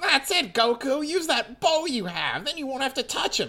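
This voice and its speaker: A put-on character voice comes through at a high pitch. It moves at a moderate pace. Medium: read story. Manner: cowardly, whiny.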